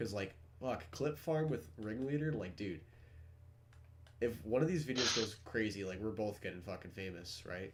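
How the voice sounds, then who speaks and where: A somewhat breathy man talks at a moderate pace. Audible room echo surrounds his voice. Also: fairly low pitch for a man, lively intonation. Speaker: gaming content creator. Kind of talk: casual gaming chat.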